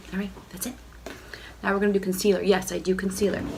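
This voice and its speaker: Audible room echo and noticeable background noise accompany this woman as she speaks. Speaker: beauty vlogger. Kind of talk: makeup tutorial. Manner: casual, chatty.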